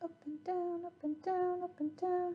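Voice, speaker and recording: Speaking at a fairly slow pace, a woman has a dark, mellow tone. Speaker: handwriting teacher. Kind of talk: tutorial.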